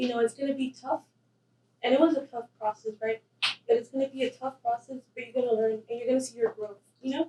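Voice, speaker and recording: Talking at a very fast pace, a woman uses a high pitch, a dark, mellow tone and fairly even intonation. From El Paso / Ciudad Juárez border region. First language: Spanish. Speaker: university student. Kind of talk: interview.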